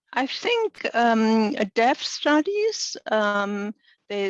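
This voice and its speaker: A woman's fairly high voice, dry and close with no echo, over a quiet background. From Germany. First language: German. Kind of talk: webinar lecture Q&A. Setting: online webinar. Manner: halting, many fillers.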